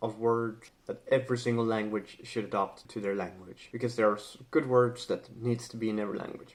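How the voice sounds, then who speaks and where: At a moderate pace and medium pitch, a man talks with a Swedish accent and fairly even intonation. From Sweden. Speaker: language and culture vlogger. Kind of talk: casual educational talk to camera. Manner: hesitant, many fillers.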